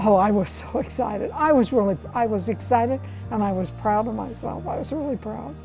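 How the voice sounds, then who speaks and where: Someone speaks at a fairly quick pace with music in the background. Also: woman. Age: 80s+. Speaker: senior weightlifter. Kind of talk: interview answer.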